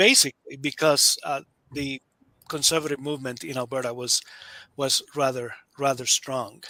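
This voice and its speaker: Speaking in a Spanish accent, a man with a fairly high pitch and a bright, sharp tone keeps his intonation fairly even, pausing long and often, in a dry, close sound with no echo. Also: moderate pace. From Nicaragua. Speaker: author, political scholar. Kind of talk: interview. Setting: online webinar.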